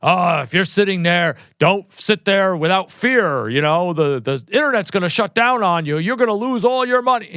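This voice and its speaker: Putting on a gruff character voice, a man speaks with high pitch and very wide pitch swings at a moderate pace, with hardly any pauses. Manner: urgent, fearful.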